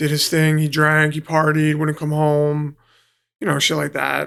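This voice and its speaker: A man speaks in a New York accent. His pace is fairly slow. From New York City (Queens, Long Island). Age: 30s. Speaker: professional fighter. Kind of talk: casual interview chat.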